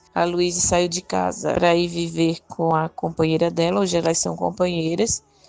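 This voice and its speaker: Noticeable background noise runs behind a woman with a fairly low pitch. She talks in a monotone, flat way with hardly any pauses. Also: moderate pace. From Northeast Brazil. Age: 50s. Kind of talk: testimony.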